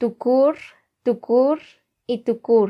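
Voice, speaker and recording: A woman with a Guatemalan accent speaks in a high voice. Her pace is very slow. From Guatemala, K'iche' Maya community. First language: K'iche' (speaking Spanish). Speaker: language teacher. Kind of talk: tutorial. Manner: slow, clear repetition of words.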